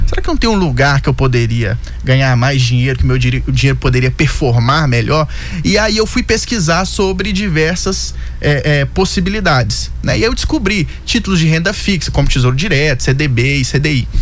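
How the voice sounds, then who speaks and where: Over music in the background and audible room echo, a man with a mineiro accent talks at a moderate pace with very even loudness. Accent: Belo Horizonte (mineiro). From Belo Horizonte, Brazil. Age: 20s. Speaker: investor and financial consultant. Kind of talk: radio interview.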